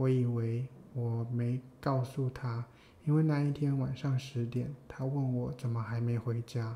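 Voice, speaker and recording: With a dark, mellow tone, a man speaks somewhat breathily at a medium pitch and fairly slow pace in a monotone, flat intonation. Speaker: podcast co-host. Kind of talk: casual chat between a couple.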